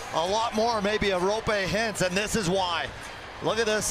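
A man's high-pitched, raised and projected voice at a fairly slow pace, with fairly even intonation and music in the background. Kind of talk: live sports commentary. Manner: analytical color commentary, brisk and conversational, with laughter.

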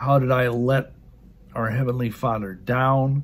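A man speaks at a fairly slow pace. His voice is somewhat breathy. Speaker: religious teacher. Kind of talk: sermon-like teaching. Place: home room. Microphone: phone near.

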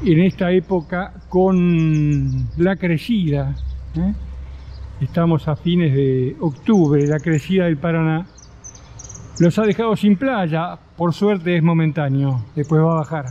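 Very slow pace from a man, his pitch varying in an ordinary way. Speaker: travel vlogger. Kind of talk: casual vlog chat. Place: street. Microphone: phone near.

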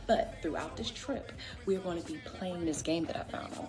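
A woman at a moderate pace over loud music in the background. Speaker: family vlogger. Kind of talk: casual vlog chat. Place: home room. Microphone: phone near.

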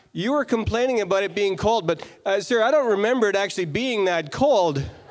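High-pitched male voice, intonation lively. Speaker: fan asking question. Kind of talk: audience question. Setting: stage with audience. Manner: halting. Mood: joking, playful teasing. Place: hall. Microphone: handheld.

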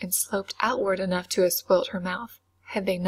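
A passage read aloud in a natural voice

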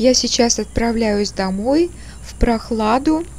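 This woman talks at a fairly slow pace. Light background noise sits behind her. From Russia, St. Petersburg. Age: 60s. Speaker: artist and craftswoman. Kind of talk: casual talk to camera. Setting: outdoors. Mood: self-ironic, light.

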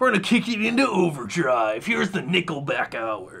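A man does a put-on character voice with a high pitch and very wide pitch swings at a moderate pace. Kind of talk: announcer-like, theatrical.

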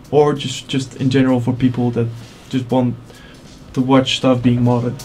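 A man's medium-pitched, monotone voice at a moderate pace, flat in intonation, with music in the background. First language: not English. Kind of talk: tech tutorial voiceover.

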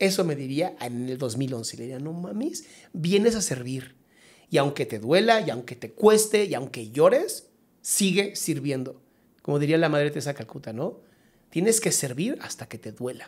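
At a moderate pace, a man with a fairly high pitch makes very wide pitch swings and big swings in loudness. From Mexico. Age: 40s. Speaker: psychologist; podcast guest. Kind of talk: casual chat. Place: studio. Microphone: studio mic.

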